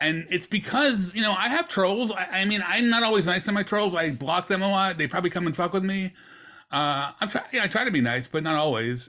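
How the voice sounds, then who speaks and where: A man with a high pitch speaks in a raised, projected voice at a fairly quick pace. His intonation is lively and his loudness very even. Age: 50s. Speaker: archive page founder and former teacher. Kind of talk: casual interview chat.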